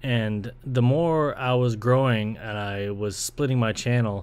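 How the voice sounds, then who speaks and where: The speaker has a Toronto accent and ordinary pitch variation. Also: man. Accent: Toronto Canadian English. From Canada, Ontario (Brampton). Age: 20s. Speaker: podcast host and video creator. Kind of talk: casual solo monologue. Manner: casual, rambling.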